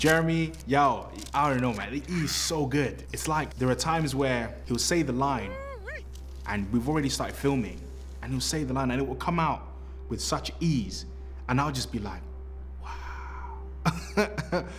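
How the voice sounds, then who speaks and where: Music plays in the background as a man speaks at a fairly slow pace, with audible room echo. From Britain. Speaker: actor. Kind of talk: interview.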